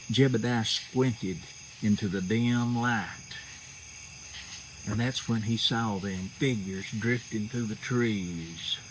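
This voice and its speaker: A very slow pace in a Southern Appalachian accent. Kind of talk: storytelling. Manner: folksy, casual.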